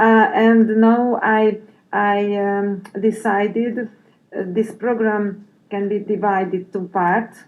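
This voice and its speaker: Very slow and in a monotone, flat intonation, a woman at medium pitch speaks with a Hungarian accent. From Hungary. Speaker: head teacher. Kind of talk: interview. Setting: conference. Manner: halting, many fillers.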